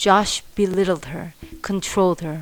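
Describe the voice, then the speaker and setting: In a calm, gentle tone, a woman speaks fairly slowly at a medium pitch with fairly even intonation. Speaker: mother. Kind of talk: true crime storytelling narration.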